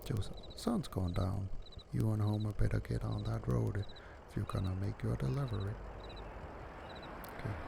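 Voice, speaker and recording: The speaker is soft-spoken and keeps a moderate pace, with long, frequent pauses. Noticeable background noise runs underneath. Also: man. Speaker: gaming commentator. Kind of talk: casual let's play commentary.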